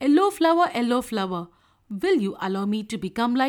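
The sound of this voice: Here someone reads in an unforced reading voice.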